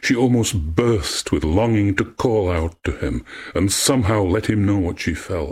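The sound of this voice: The clip features an unforced reading voice. It is used throughout.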